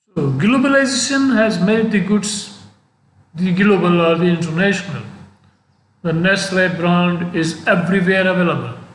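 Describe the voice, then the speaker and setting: With audible room echo, a man speaks at a moderate pace in a high voice, keeping very even loudness and ordinary pitch variation. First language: not English. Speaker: professor. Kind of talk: lecture. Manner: halting.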